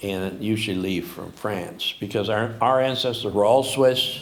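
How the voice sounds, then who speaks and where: The room echo is audible as a man with an American accent speaks at a moderate pace. His pitch is medium, with ordinary variation. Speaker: farmer and writer. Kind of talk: moderated conversation. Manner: halting.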